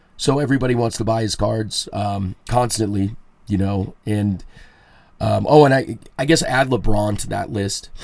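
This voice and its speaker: A man's fairly low voice at a fairly slow pace, with ordinary pitch variation. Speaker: podcast host. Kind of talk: solo podcast monologue. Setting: home studio. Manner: loud; casual, rambling with fillers.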